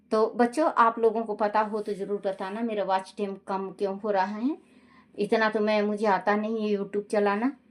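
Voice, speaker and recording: A woman uses a plain, everyday voice with fairly even intonation. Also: fairly high pitch for a woman. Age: 60s. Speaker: religious storyteller. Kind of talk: casual chat; reading aloud.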